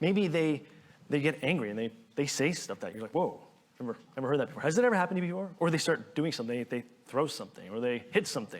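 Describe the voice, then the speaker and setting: At a very fast pace, a man with a fairly high pitch speaks in very wide pitch swings. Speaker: pastor. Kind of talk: sermon.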